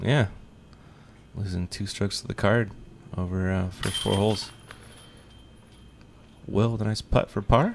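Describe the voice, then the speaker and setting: A man's fairly low voice with fairly even intonation, moderate pace, and long, frequent pauses. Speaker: disc golf commentator. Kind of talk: sports commentary.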